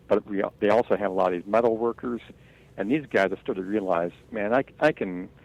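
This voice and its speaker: An ordinary speaking voice from a man, fairly low and fairly quick, with ordinary pitch variation and a dry, close sound with no echo. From Wisconsin. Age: 60s. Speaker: outdoor writer. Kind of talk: interview.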